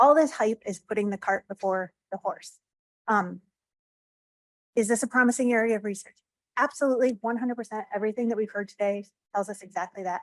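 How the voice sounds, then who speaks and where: A woman's fairly high voice at a very fast pace, with ordinary pitch variation and a dry, close sound with no echo. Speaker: government drug regulator. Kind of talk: conference talk.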